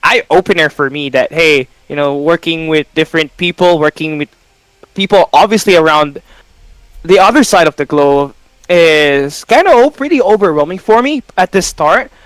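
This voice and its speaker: In a dry, close sound with no echo, a man with a Filipino accent speaks at a moderate pace in a high voice with ordinary pitch variation. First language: Tagalog. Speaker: esports caster. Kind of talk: casual chat.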